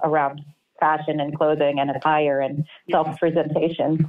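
Monotone, flat speech in an American accent at a moderate pace, with faint music in the background. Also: woman. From New York City. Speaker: artist. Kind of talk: casual interview. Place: home room. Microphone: webcam.

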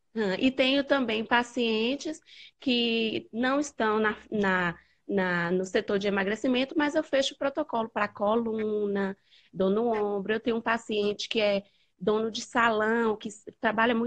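In a quiet setting, a woman talks fairly slowly, her pitch varying in an ordinary way. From Bahia, Brazil. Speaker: nutritionist. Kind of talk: live call-in conversation. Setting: video call. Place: home room. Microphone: earbuds.

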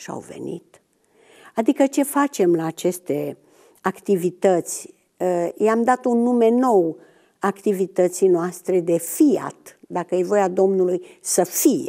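Speaking at a very slow pace against a quiet background, a woman uses lively intonation with big swings in loudness. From Romania. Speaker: retired biology teacher. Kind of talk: testimony. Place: studio.

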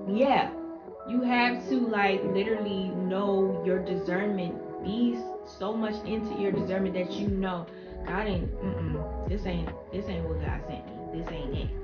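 A woman speaks at a fairly slow pace. Loud music plays behind her. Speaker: YouTuber and mother. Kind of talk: casual talk to camera. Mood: reflective, faith-focused. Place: home room. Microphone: camera far.

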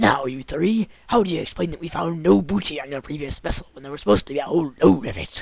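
A man puts on a character voice at a fairly high pitch. He speaks very fast. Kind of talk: comic pirate voice. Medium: audio drama. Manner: gruff, blustering.

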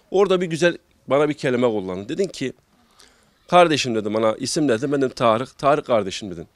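Pitch swings very widely at a fairly quick pace. The sound is dry with no echo, and the background is quiet. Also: man. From Gaziantep, Turkey; Turkey. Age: 30s. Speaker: small livestock farmer. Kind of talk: interview. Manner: halting with many fillers. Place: farm machine. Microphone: handheld.

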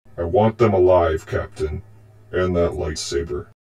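With a very deep, low pitch, a man speaks at a moderate pace with fairly even intonation. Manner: cold, menacing, measured.

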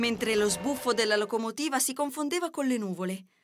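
Music plays in the background as a woman speaks at a fairly quick pace. Her pitch is high, with ordinary variation. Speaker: voice actor. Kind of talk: children's fairy tale narration.

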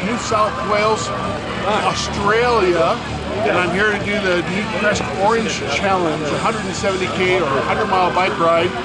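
A man's voice over loud background noise. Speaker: cyclist vlogger. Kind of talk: casual vlog chat. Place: street. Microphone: phone near.

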